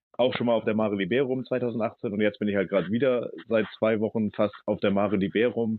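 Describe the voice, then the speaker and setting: A man with an ordinary speaking voice talks at a fairly quick pace. His medium pitch follows fairly even intonation. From Hamburg, northern Germany. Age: 40s. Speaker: ship captain and refugee aid activist. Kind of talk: interview.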